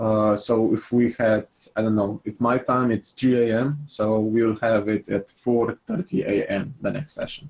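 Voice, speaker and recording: Speaking at a fairly slow pace, a man with a non-native accent keeps a medium pitch and fairly even intonation. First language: not English. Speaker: game master. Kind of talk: casual chat. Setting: voice chat. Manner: halting.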